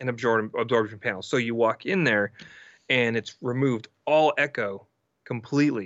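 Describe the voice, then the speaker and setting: A man with an unremarkable speaking voice talks at a moderate pace and medium pitch with ordinary pitch variation. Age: 30s. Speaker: music producer and mixing engineer. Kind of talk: casual chat.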